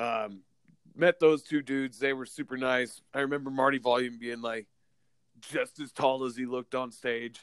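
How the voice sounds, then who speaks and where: In an unremarkable speaking voice, a man talks at a moderate pace and medium pitch with fairly even intonation, the sound dry and close with no echo. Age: 30s. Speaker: punk musician, host's identical twin brother. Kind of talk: casual interview chat. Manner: casual, laughing.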